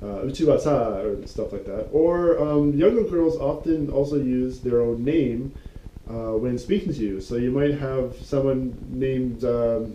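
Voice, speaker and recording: Fairly slow pace and ordinary pitch variation over noticeable background noise. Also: man, medium pitch for a man. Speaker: Japanese language teacher. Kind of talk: casual talk to camera. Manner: hesitant, many fillers.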